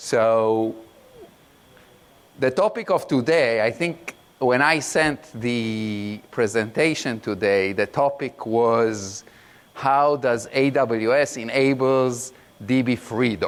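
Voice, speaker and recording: A man talks at a very slow pace with a medium pitch. His loudness stays very even, with ordinary pitch variation. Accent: non-native. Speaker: product manager, conference speaker. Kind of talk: conference talk. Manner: halting, many fillers.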